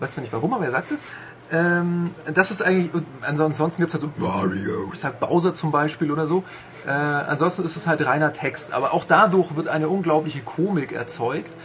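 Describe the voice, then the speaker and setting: A man speaks at a moderate pace with a fairly high pitch and ordinary pitch variation. Noticeable background noise can be heard. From Bavarian Swabia (Augsburg). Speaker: video game journalist. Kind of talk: casual chat. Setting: studio.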